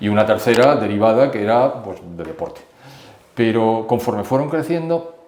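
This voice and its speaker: With lively intonation, a man talks amid noticeable background noise and audible room echo. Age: 70s. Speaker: expert commentator. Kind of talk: interview.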